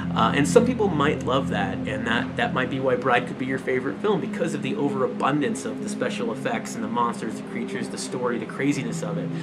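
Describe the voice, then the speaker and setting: A man talks at a very fast pace with hardly any pauses, music playing in the background. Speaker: movie collector youtuber. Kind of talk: casual chat. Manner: hesitant, many fillers.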